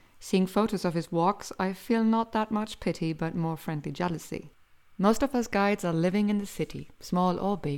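A woman at medium pitch with a German accent, moderate pace and ordinary pitch variation, on a very clean recording with a silent background. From Germany. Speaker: tour guide and podcast host. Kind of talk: scripted narration. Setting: home recording.

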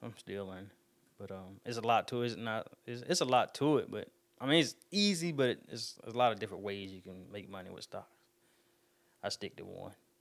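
A man with a Southern US accent talks at a fairly quick pace in a medium pitch. His intonation is lively, and his loudness swings widely. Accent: country, Southern US. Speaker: podcast host and barber. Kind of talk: casual solo podcast talk. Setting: home studio. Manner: fast talker, sometimes mumbles.

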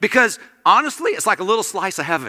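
A man with an American accent uses a raised, projected voice and a bright, sharp tone. His pitch swings very widely. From small-town US. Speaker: guest preacher. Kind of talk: sermon. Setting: church. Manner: animated.

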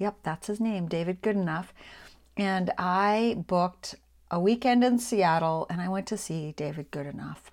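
On a very clean recording with a silent background, a woman with a normal speaking voice talks at a moderate pace, medium in pitch with ordinary variation. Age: 50s. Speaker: podcast host, business and social media coach. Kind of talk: solo monologue.

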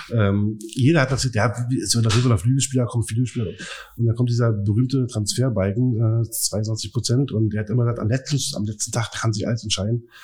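A man's somewhat breathy, medium-pitched voice at a fairly quick pace, with fairly even intonation. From Berlin area (Brandenburg). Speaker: football fan. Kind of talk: casual chat.

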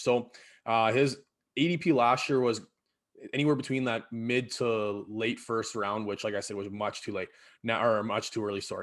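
With a Canadian Prairie accent, a man talks at a moderate pace and medium pitch, using ordinary pitch variation against a quiet background. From Saskatchewan, Canada (Battleford). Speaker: podcast host, teacher. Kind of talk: casual chat.

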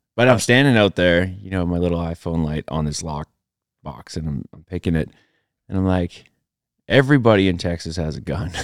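With a western Canadian accent, a man with a very deep, low voice talks at a fairly quick pace, his intonation lively and his loudness swinging widely, recorded dry and close with no echo. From Alberta, Canada (rural Métis settlement). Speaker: retired special operations sniper and country musician. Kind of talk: casual interview chat.

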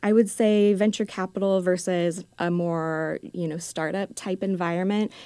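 Against a silent background on a very clean recording, a woman with an ordinary speaking voice talks at a moderate pace and medium pitch with fairly even intonation. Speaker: executive assistant. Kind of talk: interview conversation.

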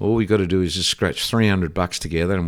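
A man speaks in a very deep, low voice with an Australian accent and fairly even intonation. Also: very clean recording, silent background. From Australia (Victoria, Ballarat). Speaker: surfboard shaper, former pro surfer. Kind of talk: casual interview storytelling.

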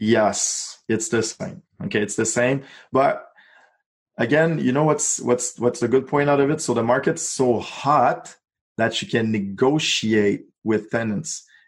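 A man speaks in a Quebec accent with ordinary pitch variation. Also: medium pitch for a man, fairly slow pace. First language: French. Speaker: real estate investor. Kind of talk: interview.

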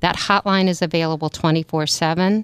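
On a very clean recording with a silent background and a dry, close sound with no echo, a woman with an American accent speaks at a moderate pace and a fairly low pitch in a monotone, flat intonation. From Maryland, US. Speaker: CEO of a family violence nonprofit. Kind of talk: radio interview.

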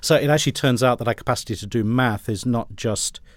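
A man races along at a very fast pace, his intonation fairly even, in a very clean recording with a silent background. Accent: British. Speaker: education professor. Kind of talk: interview.

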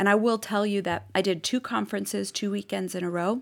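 A slight Boston accent at a moderate pace, in a very clean recording with a silent background. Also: woman. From Boston, US Northeast. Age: 50s. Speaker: podcast guest, mom. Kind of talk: casual chat.

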